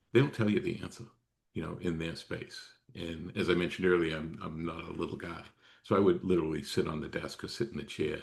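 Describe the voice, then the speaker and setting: A man talks at a very fast pace with a very deep, low pitch. His pitch variation is ordinary. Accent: American. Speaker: former emergency management official. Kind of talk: interview.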